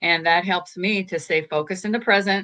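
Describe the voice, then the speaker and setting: A bright, sharp tone at a fairly quick pace, with fairly even intonation over a quiet background. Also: woman. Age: 80s+. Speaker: life coach. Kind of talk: interview.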